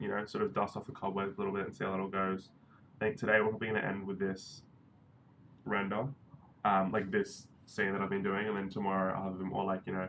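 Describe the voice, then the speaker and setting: Speaking very fast in an Australian accent, a man keeps a fairly low pitch and a monotone, flat intonation. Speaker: 3D animator and live streamer. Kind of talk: casual live stream chat.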